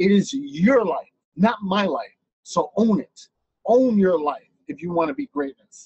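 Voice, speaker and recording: A man's high-pitched, animated voice at a fairly slow pace, with very wide pitch swings. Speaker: motivational speaker. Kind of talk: motivational talk.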